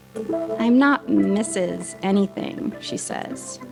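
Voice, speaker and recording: Over music in the background, a woman's fairly low voice swings very widely in pitch. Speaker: audio drama performer. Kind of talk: second-person gothic horror narration. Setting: live event.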